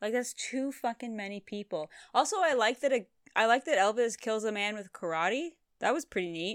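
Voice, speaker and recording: Speaking fairly quickly with an unremarkable speaking voice and lively intonation, a woman with a Canadian accent and a fairly high pitch comes through on a very clean recording with a silent background. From Canada. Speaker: podcast co-host. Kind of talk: casual chat.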